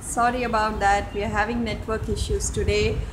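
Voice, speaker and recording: A woman speaks in a room with audible echo and noticeable background noise. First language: Telugu. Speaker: home vlogger. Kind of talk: tutorial. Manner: halting, many fillers. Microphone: network issues.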